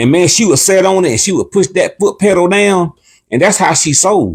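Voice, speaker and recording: Here a man talks at a moderate pace in an animated tone, his pitch high. The recording is very clean and the background silent. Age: 60s. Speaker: cooking channel co-host. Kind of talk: casual livestream chat.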